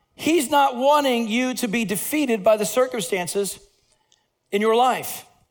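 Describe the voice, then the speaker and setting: Speaking at a moderate pace in an animated tone, a man with an extremely high pitch shows ordinary pitch variation amid audible room echo. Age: 50s. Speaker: pastor. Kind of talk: sermon.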